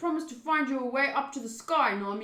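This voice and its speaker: Someone uses a put-on character voice at a fairly quick pace. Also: woman. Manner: tough, gruff.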